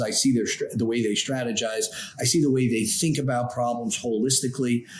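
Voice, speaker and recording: A man speaks fairly quickly with an American accent at a medium pitch. It is an ordinary speaking voice. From New York, Long Island. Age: 60s. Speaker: trial lawyer, law firm founder. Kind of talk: interview.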